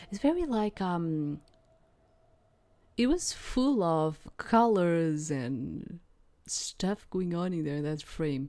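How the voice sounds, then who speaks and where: Very slowly, with long, frequent pauses, a woman with a non-native accent speaks in a fairly low, dark, mellow voice with lively intonation. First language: not English. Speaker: gaming YouTuber. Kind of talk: let's play commentary. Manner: halting.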